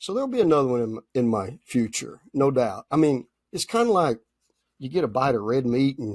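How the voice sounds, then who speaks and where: A man is speaking. His pace is moderate. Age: 60s. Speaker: machine shop owner, entrepreneur. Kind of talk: interview.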